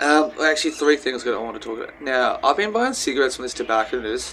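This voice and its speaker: There is noticeable background noise behind a man speaking with an Australian accent. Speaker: vlogger. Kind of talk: casual vlog monologue. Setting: outdoors. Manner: soft-spoken; halting.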